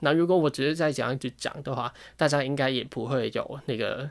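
In a very clean recording with a silent background, a man with a fairly high pitch speaks at a moderate pace. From Hong Kong. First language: Cantonese (speaking Chinese). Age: 20s. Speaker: podcast host, fashion design student. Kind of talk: casual solo monologue. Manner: halting, many fillers and repetitions.

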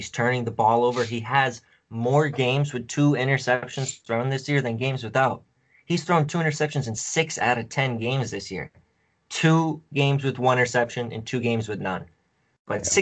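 A man speaks at a medium pitch. He has an ordinary speaking voice. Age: 20s. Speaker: fantasy football analyst. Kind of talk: casual chat.

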